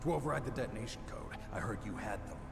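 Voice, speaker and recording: Putting on a character voice, a man speaks very fast at a medium pitch over loud background noise. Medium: machinima. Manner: terse, clipped.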